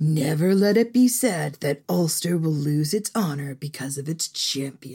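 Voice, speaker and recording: A put-on character voice at a middle pitch and moderate pace, with hardly any pauses. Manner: proud, heroic.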